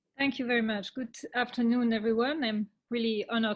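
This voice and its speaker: Somewhat breathy and fairly high-pitched, a woman speaks in a French accent at a moderate pace with fairly even intonation. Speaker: regional politician. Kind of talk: webinar presentation. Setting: video call.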